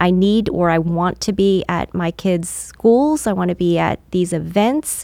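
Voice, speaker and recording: Her pitch fairly low and her tone dark and mellow, a woman talks at a fairly slow pace with hardly any pauses and ordinary pitch variation. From California. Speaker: insurance agent and business owner. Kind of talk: interview.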